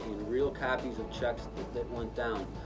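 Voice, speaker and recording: A man's voice with music in the background. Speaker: attorney and title agency owner. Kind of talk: testimonial to camera. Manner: hesitant, halting.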